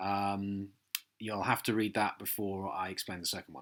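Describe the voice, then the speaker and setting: A man speaks with an English accent and a bright, sharp tone. The recording is very clean, with a silent background. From southern England, Hampshire. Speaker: fantasy author. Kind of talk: radio interview. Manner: halting, many fillers.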